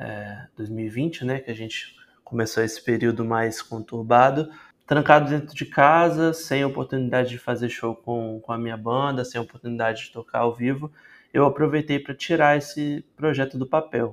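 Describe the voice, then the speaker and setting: A man speaks fairly slowly in a normal speaking voice at medium pitch. His intonation stays fairly even, but his loudness swings a lot. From Espírito Santo, Brazil (Vitória). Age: 20s. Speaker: singer-songwriter. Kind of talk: interview.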